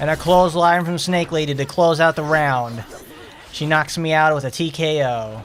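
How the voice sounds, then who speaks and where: Against noticeable background noise, a man with an American accent talks at a moderate pace, his fairly high pitch showing ordinary variation. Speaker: gaming streamer. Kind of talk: live gameplay commentary. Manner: animated.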